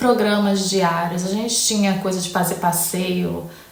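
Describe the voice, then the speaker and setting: A woman with a Rio de Janeiro accent speaks at a fairly slow pace and a medium pitch. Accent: Carioca Brazilian Portuguese. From Rio de Janeiro, Brazil. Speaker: English teacher, YouTuber. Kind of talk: casual talk to camera, Q&A.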